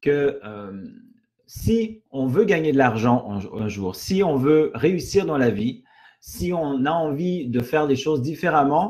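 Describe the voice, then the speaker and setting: Speaking very slowly in a Quebec accent, a man has a fairly high, somewhat breathy voice. His pitch swings very widely. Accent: Canadian French (Québécois). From Canada. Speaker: network marketing presenter. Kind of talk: sales pitch webinar. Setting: online webinar. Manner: halting, many fillers and repetitions.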